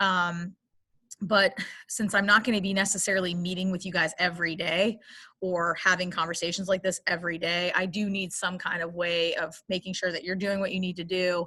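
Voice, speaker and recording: Bright and sharp in tone, a woman of medium pitch speaks fairly quickly in a monotone, flat delivery. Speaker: English teacher. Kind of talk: class instructions. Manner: fast.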